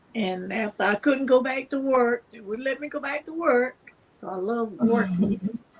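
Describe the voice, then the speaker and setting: A woman's high-pitched voice with ordinary pitch variation and big swings in loudness, over noticeable background noise. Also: moderate pace. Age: 80s+. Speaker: cancer survivor. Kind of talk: interview. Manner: halting.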